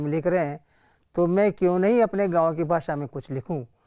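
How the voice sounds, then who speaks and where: A man's high-pitched voice with fairly even intonation, on a very clean recording with a silent background. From Hadoti region, Rajasthan (Baran district village). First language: Hadoti (speaking Hindi). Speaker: poet and author. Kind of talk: interview.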